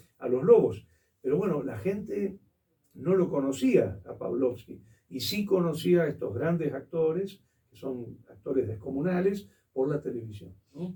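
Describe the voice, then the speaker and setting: Speaking at a fairly slow pace with a Rioplatense accent, a man with a fairly high pitch and vocal fry uses very wide pitch swings in a dark, mellow tone. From Argentina. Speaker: theatre historian and critic. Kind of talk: interview answer.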